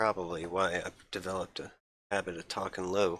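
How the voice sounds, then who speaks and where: A soft-spoken man with a very deep, low pitch, flat and monotone at a moderate pace, in a very clean recording over a silent background. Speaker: gaming streamer. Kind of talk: casual live-stream talk. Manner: soft-spoken, talks low; halting, many fillers.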